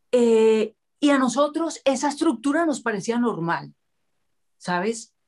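A woman speaks at a high pitch with lively intonation. Her pace is fairly slow, with long, frequent pauses. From Colombia, Cali. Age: 50s. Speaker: public figure, interviewer. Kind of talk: casual interview chat.

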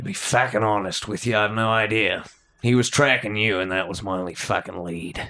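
Putting on a gruff, raspy character voice, a man talks at a fairly quick pace, fairly low in pitch, with fairly even intonation. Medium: actual play. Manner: gruff and profane.

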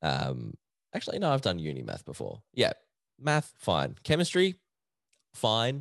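Speaking fairly slowly with long, frequent pauses, a man with an Australian accent comes across dry and close with no echo over a quiet background. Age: 20s. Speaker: podcast host. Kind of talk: casual solo chat. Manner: laughs often.

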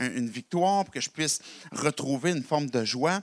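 In a Quebec accent, the speaker uses lively intonation at a moderate pace, with a dry, close sound and no echo. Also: man. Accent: Québécois French. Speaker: pastor. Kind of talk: sermon. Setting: church service in a college hall. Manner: halting, many repetitions and fillers.

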